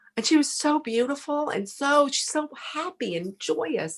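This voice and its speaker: The speaker uses very wide pitch swings in a Texan accent. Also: woman. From Texas. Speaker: podcast guest, former saleswoman. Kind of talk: casual interview storytelling. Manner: animated.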